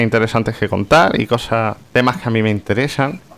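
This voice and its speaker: The man has an unremarkable speaking voice. Its pitch varies in an ordinary way. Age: 30s. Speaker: podcast host, web developer. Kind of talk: casual chat; scripted narration.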